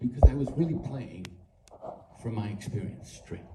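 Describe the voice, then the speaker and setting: A man's pitch swings very widely, and room echo can be heard around him. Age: 80s+. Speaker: actor at a fan convention panel. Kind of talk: panel Q&A remarks. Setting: convention stage with audience.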